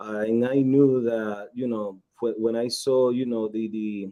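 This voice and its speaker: Here a man with a Nicaraguan accent talks at a medium pitch. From Nicaragua, Esteli. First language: Spanish. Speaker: cigar company executive. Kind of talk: interview.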